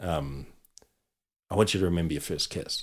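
This New Zealand accent comes through with fairly even intonation on a very clean recording against a silent background. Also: man. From New Zealand, Auckland (Otahuhu). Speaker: comedy writer and actor. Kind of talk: casual chat. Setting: studio.

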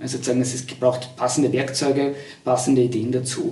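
A man talks at a fairly quick pace. Audible room echo and noticeable background noise surround him. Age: 50s. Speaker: university lecturer. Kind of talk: interview. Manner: halting.

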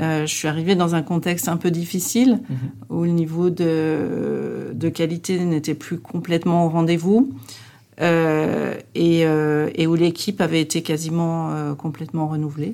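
With fairly even intonation, a woman speaks at a fairly slow pace in a fairly low pitch on a very clean recording with a silent background. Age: 50s. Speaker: customer service director. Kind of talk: interview. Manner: halting.

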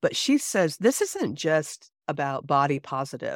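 In a very clean recording with a silent background, a woman's very deep, low voice comes through dry and close, with no echo. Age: 50s. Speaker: pastor. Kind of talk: casual chat.

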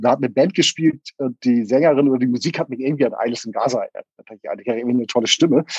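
Very fast speech comes from a man. His pitch is medium with ordinary variation. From northern Germany, Hamburg south. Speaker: musician. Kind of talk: interview.

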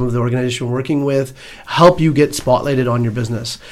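A man speaks with a Canadian accent. His intonation stays fairly even. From Edmonton, Alberta, Canada. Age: 40s. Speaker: business owner and community organizer. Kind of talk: radio interview. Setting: radio studio.

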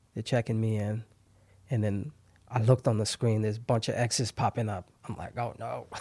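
Somewhat breathy and monotone, a man speaks at a medium pitch with a dark, mellow tone and flat intonation. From Haiti. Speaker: barbershop owner. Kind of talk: interview.

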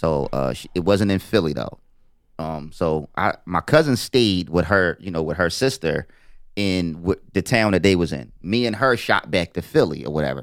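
A man's very deep, low voice with vocal fry and lively intonation, at a moderate pace, on a very clean recording with a silent background. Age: 40s. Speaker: podcaster. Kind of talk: casual chat.

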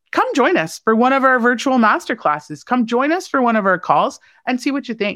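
Speaking at a fairly quick pace against a quiet background, a woman has a fairly high pitch and vocal fry. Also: hardly any pauses. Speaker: bank small business program leader. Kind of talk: interview. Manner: loud.

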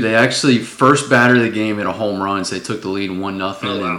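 With hardly any pauses, the speech runs at a fairly quick pace, and room echo is audible. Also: man. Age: 20s. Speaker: sports podcast host. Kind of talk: casual chat.

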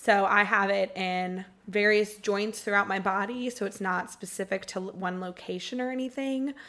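A woman's bright, sharp tone at a medium pitch, moderate pace, fairly even intonation and hardly any pauses. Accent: Southern US. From Georgia, US South (Marietta). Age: 20s. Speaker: podcast co-host with chronic illness. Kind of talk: casual chat.

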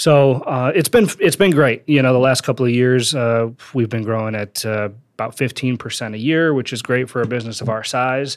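A man speaks in an ordinary speaking voice at medium pitch. His pace is fairly quick, with ordinary pitch variation. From Wisconsin. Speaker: business owner and author. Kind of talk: interview. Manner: casual.

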